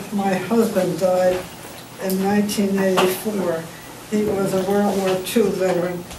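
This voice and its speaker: A woman speaks at a medium pitch and a fairly slow pace, in a monotone, flat way. There is audible room echo and noticeable background noise. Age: 80s+. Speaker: resident making public comment. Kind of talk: public comment at council meeting.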